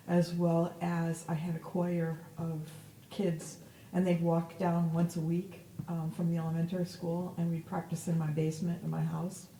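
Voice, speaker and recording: Over noticeable background noise, a woman with an American accent talks at a moderate pace in a fairly low, monotone, flat voice. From upstate New York, Verona. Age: 60s. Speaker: cantor. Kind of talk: oral history interview. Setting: synagogue.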